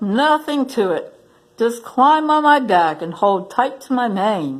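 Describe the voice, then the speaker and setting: A woman puts on a character voice, speaking at a fairly slow pace and a fairly high pitch. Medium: read story. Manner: warm, gentle.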